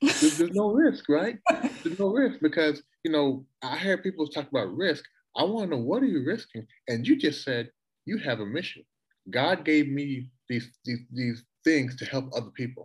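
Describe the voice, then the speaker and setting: Fairly high-pitched and somewhat breathy, a man talks at a moderate pace with very wide pitch swings. The background is quiet. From Toronto, Canada. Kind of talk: casual interview chat. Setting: video call.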